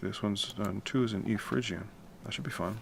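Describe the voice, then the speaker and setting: At a moderate pace, a man speaks in a fairly low pitch with audible room echo. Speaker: musician and composer livestreaming. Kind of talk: casual livestream tutorial. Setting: home at night, livestream. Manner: quiet, keeping voice down; casual, with many fillers.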